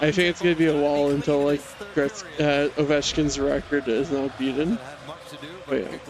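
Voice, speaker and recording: A man talks at a moderate pace in a fairly high pitch while noticeable background noise carries on. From Canada. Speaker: streamer. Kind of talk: casual chat.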